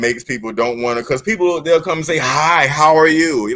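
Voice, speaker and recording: This man speaks with ordinary pitch variation. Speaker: live stream co-host. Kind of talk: casual chat.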